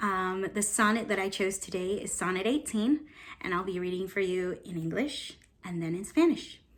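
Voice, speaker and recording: Medium pitch and ordinary pitch variation from a woman speaking at a moderate pace. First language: Spanish. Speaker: stage actor. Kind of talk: casual talk to camera.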